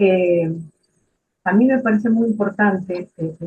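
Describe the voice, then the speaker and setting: A woman's somewhat breathy voice, fairly slow, with fairly even intonation. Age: 70s. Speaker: retired social work supervisor. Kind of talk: book presentation talk. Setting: live stream. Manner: halting, many fillers.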